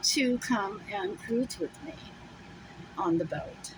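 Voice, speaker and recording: A woman's voice swings very widely in pitch amid noticeable background noise. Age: 70s. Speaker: solo vlogger, RV traveller. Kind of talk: casual vlog monologue. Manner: rambling, hesitant with fillers.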